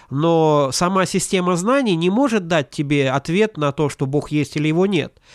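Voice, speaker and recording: A man with a high pitch and ordinary pitch variation talks at a moderate pace with hardly any pauses and very even loudness. The recording is very clean with a silent background and a dry, close sound with no echo. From Latvia, Ventspils. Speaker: pastor and seminary teacher. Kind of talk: interview.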